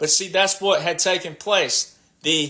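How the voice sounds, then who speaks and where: With a passionate, bright and sharp tone, a man raises and projects his high-pitched voice. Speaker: political commentator livestreamer. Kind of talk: livestream monologue. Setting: live stream. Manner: loud and passionate.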